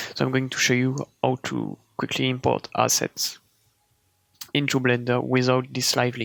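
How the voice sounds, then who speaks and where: With long, frequent pauses, a man with a French accent speaks at a moderate pace in a dry, close sound with no echo. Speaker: 3D artist tutorial creator. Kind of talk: tutorial. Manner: casual, hesitant.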